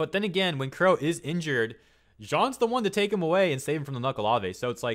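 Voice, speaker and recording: A man talking at a very fast pace, with very wide pitch swings. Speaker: YouTube commentator. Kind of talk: video essay commentary. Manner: casual, filler-heavy.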